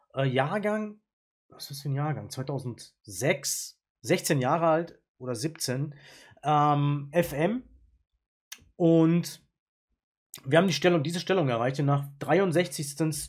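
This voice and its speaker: A very slow, somewhat breathy man with a fairly high pitch, ordinary pitch variation, big swings in loudness and long, frequent pauses. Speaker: chess YouTuber and player. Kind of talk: chess game analysis. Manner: casual, with frequent filler sounds.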